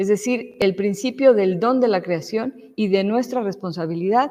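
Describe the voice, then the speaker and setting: A woman with a Mexican accent, dark, mellow tone, and fairly slow pace. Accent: Mexican, noticeable. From Mexico. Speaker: lecturer. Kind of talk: lecture. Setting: church hall with audience.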